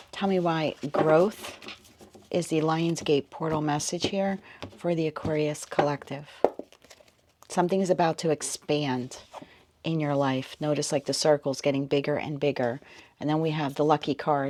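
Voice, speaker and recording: Moderate pace with long, frequent pauses, over noticeable background noise. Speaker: tarot reader. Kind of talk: tarot reading. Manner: soft-spoken.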